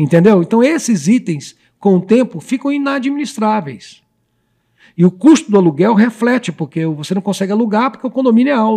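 Dark, mellow tone from a man at a high pitch, with lively intonation and a moderate pace. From Brazil, Goiás state. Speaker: real estate company founder. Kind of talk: casual interview chat.

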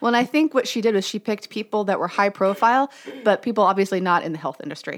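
In an animated tone, a woman talks very fast at medium pitch with lively intonation. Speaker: podcast host. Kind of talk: casual chat. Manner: joking, animated.

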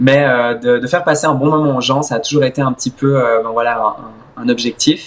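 At a fairly quick pace, a man of medium pitch speaks in a plain, everyday voice with fairly even intonation. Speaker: swimmer and content creator. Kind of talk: interview.

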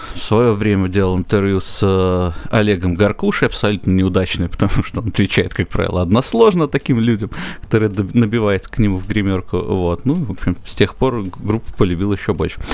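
A normal speaking voice at a fairly quick pace with ordinary pitch variation. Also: man, fairly low pitch for a man. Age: young. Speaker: quiz host and musician. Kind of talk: casual chat.

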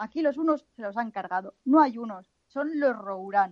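A woman with a strong northern Spanish accent talks at a moderate pace. The sound is dry and close, with no echo. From northern Spain. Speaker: podcast co-host. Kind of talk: casual chat; reading news aloud.

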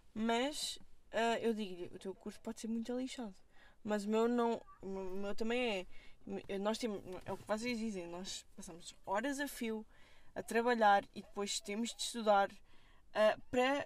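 This woman talks at a fairly slow pace in a fairly high pitch, with ordinary pitch variation and big swings in loudness. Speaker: film student. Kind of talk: casual chat. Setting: in a car.

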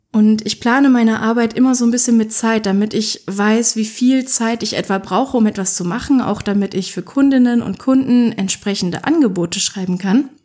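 With hardly any pauses, a woman with a plain, everyday voice talks at a fairly quick pace, using a fairly high pitch and ordinary pitch variation. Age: 20s. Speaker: podcast host, author and self-employed writer. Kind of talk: solo podcast monologue. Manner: casual, chatty.

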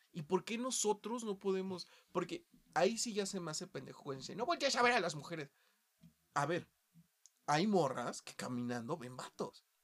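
A man with a Mexican accent speaks at a moderate pace, with long, frequent pauses. His high voice makes very wide pitch swings and big changes in loudness. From Mexico, small town. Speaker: podcast host. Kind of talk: casual chat.

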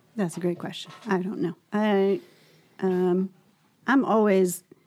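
A woman speaks at medium pitch with a dark, mellow tone and monotone, flat intonation. The recording is very clean, with a silent background. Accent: American. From Argentina and Texas. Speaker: parent in a multiracial family. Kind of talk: interview.

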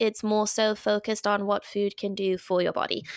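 Moderate pace with an English accent, dry and close with no echo, on a very clean recording with a silent background. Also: woman. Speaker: dietitian and retired athlete. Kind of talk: casual interview. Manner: animated.

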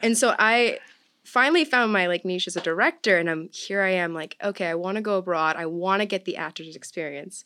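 Speaking at a fairly quick pace with an American accent, a woman uses a bright, sharp tone at medium pitch with ordinary pitch variation, on a very clean recording with a silent background. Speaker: college student, theater major. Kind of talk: casual chat, interview.

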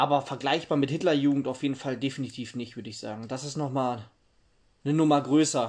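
A man's fairly high voice at a very fast pace, with fairly even intonation over a quiet background. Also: big swings in loudness. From East Germany, Halle. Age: 50s. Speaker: interviewee on East German youth. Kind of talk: interview.

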